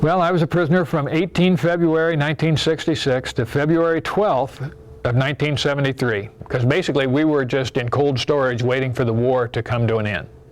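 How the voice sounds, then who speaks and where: A fairly high male voice with an American accent, ordinary pitch variation, very even loudness, and a fairly quick pace, with noticeable background noise. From US Midwest, Iowa. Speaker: war veteran. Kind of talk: testimony.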